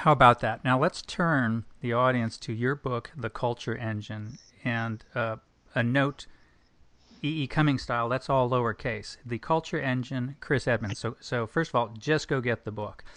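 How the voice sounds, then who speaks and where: With an American accent and a plain, everyday voice, a man speaks at a moderate pace and medium pitch, his intonation fairly even against a quiet background. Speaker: podcast host. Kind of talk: interview, scripted intro.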